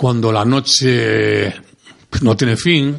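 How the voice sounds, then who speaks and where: Through noticeable background noise, a man with a strong Andalusian accent speaks at a medium pitch. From Andalusia, Córdoba. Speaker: music industry executive. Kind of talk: interview. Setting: studio.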